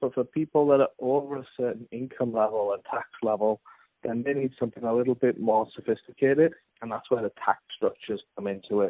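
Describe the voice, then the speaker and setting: Here a man talks at a fairly quick pace with an English accent. His medium pitch follows a fairly even intonation. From England. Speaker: finance consultant, company founder. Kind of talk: podcast interview.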